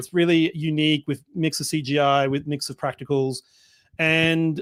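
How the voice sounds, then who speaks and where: A man with an Australian accent speaks at a moderate pace in a fairly high voice. The sound is dry and close with no echo, on a very clean recording with a silent background. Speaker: filmmaker. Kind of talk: interview.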